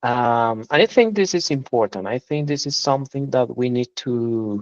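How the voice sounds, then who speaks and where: With a Spanish accent, a man speaks at a moderate pace and a medium pitch, using ordinary pitch variation. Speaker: language student. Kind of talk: casual chat.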